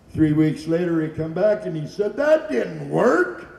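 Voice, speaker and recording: Audible room echo surrounds a man speaking at a fairly slow pace with very wide pitch swings. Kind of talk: stage joke telling. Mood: jovial, joking. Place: hall.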